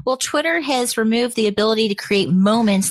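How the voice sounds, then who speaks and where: At a fairly quick pace, a woman speaks with an ordinary speaking voice and ordinary pitch variation. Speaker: co-host.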